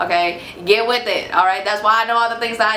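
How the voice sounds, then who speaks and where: A woman with an American accent talks in a fairly high pitch, with audible room echo and noticeable background noise. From Houston, Texas. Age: 20s. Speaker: tarot reader, spiritual youtuber. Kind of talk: casual vlog Q&A. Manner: animated.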